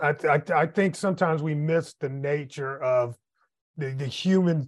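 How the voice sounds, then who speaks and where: A man with an American accent has an ordinary speaking voice, pitched fairly high. He talks at a moderate pace with ordinary pitch variation against a quiet background. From US Midwest. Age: 50s. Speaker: podcast host, entrepreneur and author. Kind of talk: casual interview.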